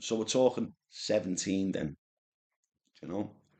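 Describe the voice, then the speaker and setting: A man speaks with a Liverpool accent. His pitch is fairly low and his pace fairly slow. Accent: Scouse (Liverpool). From Liverpool, England (Speke). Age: 50s. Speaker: carp angler, vlogger. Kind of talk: casual storytelling monologue. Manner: rambling, hesitant with repetitions.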